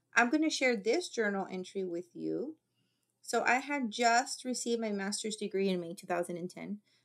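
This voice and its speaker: On a very clean recording with a silent background, a woman with a fairly high pitch speaks in an animated tone, with ordinary pitch variation and big swings in loudness. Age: 40s. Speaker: vlogger. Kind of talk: casual monologue with reading aloud. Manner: fast.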